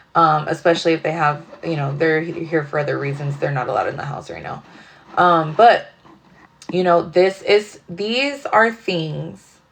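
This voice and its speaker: Noticeable background noise sits behind a woman with a fairly low pitch. Her intonation is lively, and her loudness swings widely. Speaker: tarot reader. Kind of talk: casual tarot reading monologue. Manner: fast; casual, rambling with fillers.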